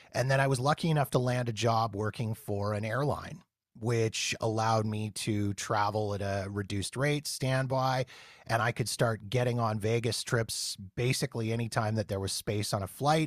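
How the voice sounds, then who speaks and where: This man has an unremarkable speaking voice, medium in pitch, with a Canadian accent. He talks at a moderate pace with fairly even intonation in a very clean recording with a silent background. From Canada. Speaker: podcast host, Las Vegas travel enthusiast. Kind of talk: casual interview.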